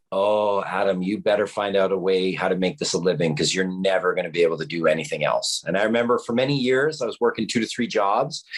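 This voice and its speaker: With lively intonation, a man speaks in a Canadian accent. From Canada, British Columbia. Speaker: documentary film producer. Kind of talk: podcast interview. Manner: casual, animated.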